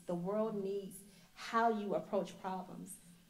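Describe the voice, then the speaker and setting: A woman speaks very slowly at a medium pitch, her intonation monotone and flat. Room echo is audible. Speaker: engineer on a panel. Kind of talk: panel Q&A answer. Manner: soft-spoken.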